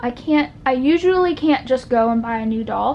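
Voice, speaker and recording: This woman speaks with a high pitch. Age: 20s. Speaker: doll collector YouTuber. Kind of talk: casual chat video. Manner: conversational with fillers.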